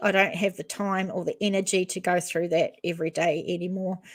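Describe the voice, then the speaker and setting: In a very clean recording with a silent background, a woman with a New Zealand accent speaks at a medium pitch. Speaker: true crime YouTuber. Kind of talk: live stream chat. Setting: live stream.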